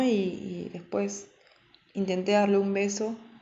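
A woman talks at a very slow pace and a medium pitch. Audible room echo surrounds her voice. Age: 20s. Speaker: storyteller. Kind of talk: personal testimony. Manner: halting.

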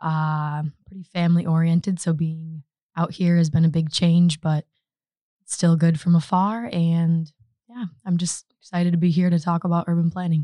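A somewhat breathy woman with an American accent, fairly low-pitched, at a moderate pace, in a flat monotone, with a dry, close sound and no echo. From US Midwest, Michigan. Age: 20s. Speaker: master's student. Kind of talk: casual interview.

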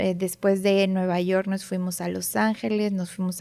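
A woman speaks at a very slow pace. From northern Mexico (Monterrey). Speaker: optometrist. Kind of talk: casual interview.

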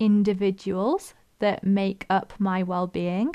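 A woman speaks at a very slow pace in a dark, mellow tone that is also warm and upbeat, with a quiet background. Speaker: fitness coach and podcast host. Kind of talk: solo podcast talk, casual educational. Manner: warm, upbeat.

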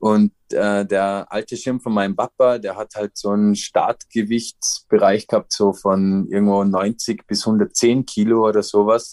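Against a quiet background, a man speaks at a fairly slow pace with hardly any pauses, his fairly low voice monotone and flat, the sound dry and close with no echo. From Austria, Vorarlberg (Dornbirn). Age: 30s. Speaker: professional paraglider. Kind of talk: interview.

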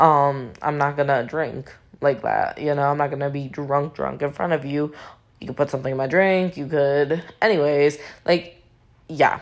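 A quiet woman's voice with very deep, low pitch. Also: fairly even intonation, moderate pace. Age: 20s. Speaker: podcast host. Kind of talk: casual monologue. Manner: quiet, low voice.

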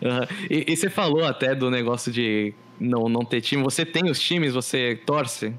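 A man with an ordinary speaking voice, a moderate pace, ordinary pitch variation, and very even loudness. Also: medium pitch for a man. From Brazil, São Vicente. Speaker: podcast co-host. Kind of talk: casual chat. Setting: online call.

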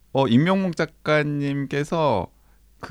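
The background is silent, and the recording very clean. A man does the talking. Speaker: podcast host. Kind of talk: casual chat.

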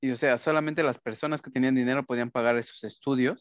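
Moving at a fairly quick pace, a man uses an ordinary speaking voice at medium pitch with fairly even intonation. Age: 20s. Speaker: podcast co-host, granite company worker. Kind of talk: casual chat.

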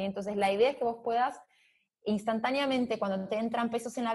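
A woman with a normal speaking voice, a fairly high pitch and ordinary pitch variation. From Brazil, São Paulo. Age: 30s. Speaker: fintech executive. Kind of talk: interview. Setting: remote call.

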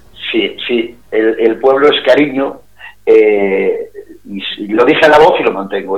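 A man delivers his words at a fairly slow pace against noticeable background noise. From Galicia, A Coruña province, Spain. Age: 50s. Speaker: singer. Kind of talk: interview.

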